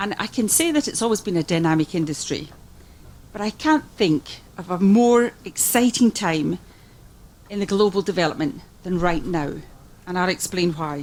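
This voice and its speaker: A woman with a Scottish accent speaks at a moderate pace, her medium-pitched voice full of lively intonation. She leaves long, frequent pauses. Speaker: music industry executive. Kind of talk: conference speech. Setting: conference forum with interpreters.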